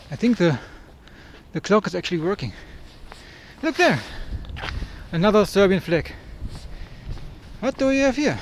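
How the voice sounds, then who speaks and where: With a German accent, a man speaks at a moderate pace and high pitch, making very wide pitch swings and taking long, frequent pauses. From Germany. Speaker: travel vlogger. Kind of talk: travel vlog.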